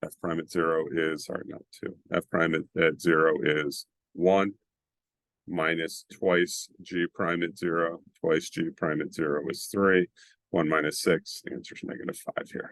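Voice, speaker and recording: The sound is dry and close, with no echo, as a man talks at a fairly slow pace. Long pauses come often. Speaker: math teacher. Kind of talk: tutorial. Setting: screen-share video lesson.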